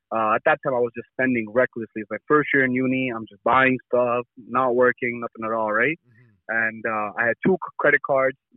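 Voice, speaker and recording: Speaking at a fairly quick pace in a plain, everyday voice, a man keeps a medium pitch and fairly even intonation, with hardly any pauses and big swings in loudness. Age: 20s. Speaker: young entrepreneur running a car rental side business. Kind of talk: casual interview.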